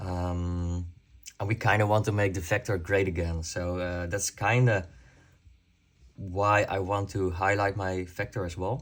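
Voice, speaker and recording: Speaking at a fairly slow pace, a man with a non-native accent has a very deep, low pitch and monotone, flat intonation. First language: not English. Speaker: airsoft YouTuber. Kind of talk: casual talk to camera. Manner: halting, many fillers.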